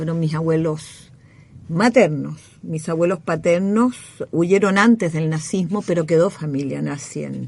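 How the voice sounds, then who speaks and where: The voice is somewhat breathy, with ordinary pitch variation and a fairly slow pace. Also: woman, fairly low pitch for a woman. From Chile. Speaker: former government minister and academic. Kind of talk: radio interview.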